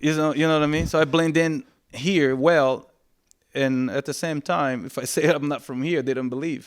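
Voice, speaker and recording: In a Brazilian accent, a man speaks at a moderate pace with a fairly high pitch and fairly even intonation. The recording is very clean, with a silent background. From Brazil, Salvador, Bahia. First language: Portuguese. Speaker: reggae singer. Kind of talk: interview conversation.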